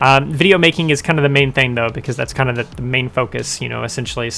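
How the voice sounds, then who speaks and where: Background noise is noticeable throughout. Over it, a man talks. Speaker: video maker, answering viewer questions. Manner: fast talker.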